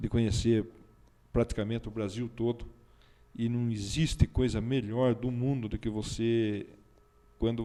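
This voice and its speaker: A man speaks with a dark, mellow tone. His intonation stays monotone and flat. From Brazil, Votorantim (São Paulo state). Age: 60s. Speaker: local politician, former military officer. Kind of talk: talk show interview.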